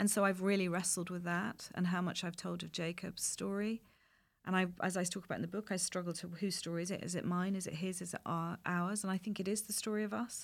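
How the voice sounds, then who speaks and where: A medium-pitched woman's voice, very fast and monotone, with flat intonation. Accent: English. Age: 50s. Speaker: playwright and screenwriter. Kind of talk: interview.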